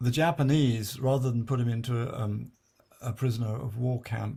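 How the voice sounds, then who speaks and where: A man with a medium-pitched, somewhat breathy voice and a dark, mellow tone speaks at a moderate pace with fairly even intonation. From born in South China to British missionary parents. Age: 70s. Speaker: memoirist. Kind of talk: autobiographical talk with slides. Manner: halting, many fillers and restarts.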